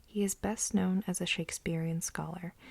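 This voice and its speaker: Whispering, soft-spoken delivery. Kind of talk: asmr book reading. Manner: whispered, soft-spoken.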